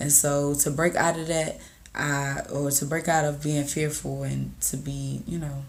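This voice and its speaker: Someone talks at a fairly slow pace, with audible room echo. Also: woman. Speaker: content creator vlogger. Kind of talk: casual motivational vlog. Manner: casual, halting with fillers.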